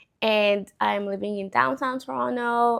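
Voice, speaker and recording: A woman with a non-native accent against a quiet background. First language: not English. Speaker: vlogger, data analyst. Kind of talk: casual vlog talk. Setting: at home.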